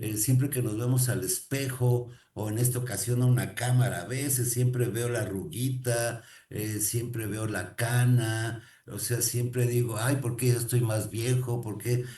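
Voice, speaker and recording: In a room with audible echo, a man with a medium pitch and a dark, mellow tone speaks fairly slowly, somewhat breathy and in a flat monotone. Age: 60s. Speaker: motivational speaker. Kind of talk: motivational talk. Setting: recorded to camera.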